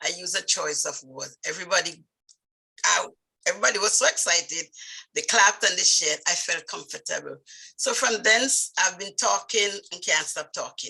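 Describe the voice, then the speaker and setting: A woman speaks in a strong Vincentian accent at a moderate pace. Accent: thick Vincentian. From Saint Vincent, West Indies. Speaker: nurse midwife, speaking club member. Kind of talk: personal story speech. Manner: halting.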